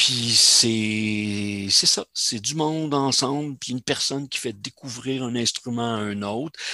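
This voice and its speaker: In a Quebec accent, a man speaks at medium pitch and a very slow pace. The sound is dry and close, with no echo. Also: ordinary pitch variation, hardly any pauses. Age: 60s. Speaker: semi-retired amateur cellist. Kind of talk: casual interview.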